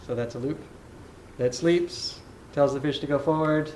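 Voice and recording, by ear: This man's voice has a fairly high pitch and ordinary pitch variation. The tone is slightly mellow, with audible room echo. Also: moderate pace.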